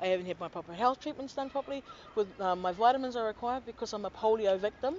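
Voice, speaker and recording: Talking at a very fast pace, a woman with a New Zealand accent speaks at a fairly high pitch. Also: ordinary pitch variation. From New Zealand, Auckland. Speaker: complainant to government office. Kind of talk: testimony.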